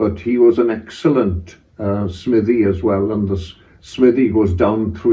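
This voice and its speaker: In a Pembrokeshire accent, a man with a fairly low, somewhat breathy voice speaks at a moderate pace with fairly even intonation, and audible room echo fills the recording. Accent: Welsh English, Pembrokeshire. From Wales. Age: 80s+. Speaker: retired head teacher. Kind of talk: oral history interview. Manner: halting, with frequent fillers.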